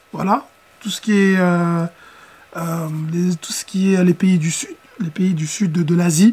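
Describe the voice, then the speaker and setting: Very slow pace and fairly even intonation, with long, frequent pauses and noticeable background noise. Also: woman, fairly low pitch for a woman. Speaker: podcast host. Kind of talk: casual interview.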